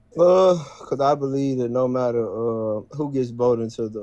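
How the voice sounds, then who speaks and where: Speaking at a moderate pace in a Southern accent, a man has a dark, mellow tone. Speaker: caller, Trump voter. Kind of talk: heated debate.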